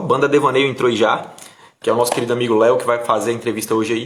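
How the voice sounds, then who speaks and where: A man talks at a very fast pace in a northeastern Brazilian accent, with ordinary pitch variation. Room echo is audible. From Brazil, Bahia (Bom Jesus da Lapa). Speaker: interview show host. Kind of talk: casual interview livestream.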